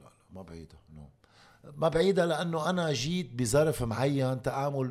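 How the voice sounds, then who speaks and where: With a Lebanese accent, a man speaks in lively intonation. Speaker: former basketball player. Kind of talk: interview conversation.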